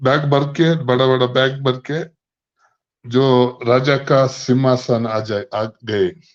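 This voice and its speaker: Against a quiet background, a man with a non-native accent speaks at a medium pitch. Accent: non-native Hindi. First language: not Hindi (speaking Hindi). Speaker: online business network member. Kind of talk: speech telling a story at an online meeting. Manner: halting.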